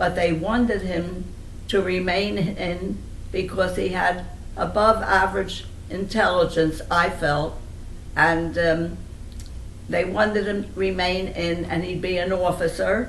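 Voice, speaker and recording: Noticeable background noise sits behind a woman speaking at a medium pitch. She talks at a fairly slow pace in a flat, monotone way. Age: old. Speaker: family elder recalling memories. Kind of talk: interview answer.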